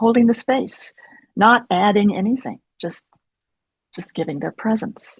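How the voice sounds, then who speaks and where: The voice is somewhat breathy and moves at a fairly slow pace. Its pitch varies in an ordinary way. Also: woman. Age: 70s. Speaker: therapist. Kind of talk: interview.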